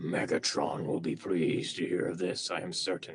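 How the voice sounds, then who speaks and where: A man's put-on character voice, growling and very deep and low in pitch, at a moderate pace. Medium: fan dub. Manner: sly, obsequious.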